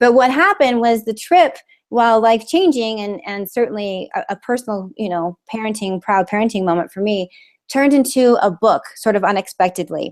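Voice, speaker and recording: A woman talks at a fairly quick pace with lively intonation and fairly high pitch. The sound is dry and close, with no echo. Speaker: public speaking coach. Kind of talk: webinar presentation. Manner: fast.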